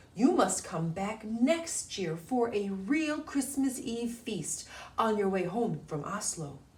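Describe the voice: The voice reads text aloud plainly. Its pitch rises and falls in a lively way.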